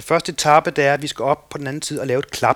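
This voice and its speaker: Dry and close with no echo, this recording has a man with a plain, everyday voice talking fairly quickly at a fairly high pitch, his intonation fairly even. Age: 50s. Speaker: kayak instructor and boatbuilder. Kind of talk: casual interview. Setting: at home in the countryside.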